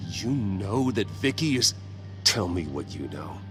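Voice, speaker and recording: Over loud background noise, a man puts on a character voice. It is fairly low in pitch and fairly slow. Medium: short film. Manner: terse, serious.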